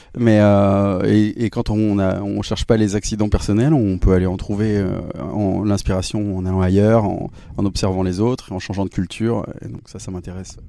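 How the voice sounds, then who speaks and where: A man talks at a moderate pace in a fairly low pitch with fairly even intonation. Noticeable background noise can be heard. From southeastern France (Drôme, Romans-sur-Isère). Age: 40s. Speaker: musician. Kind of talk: interview. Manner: hesitant, many fillers.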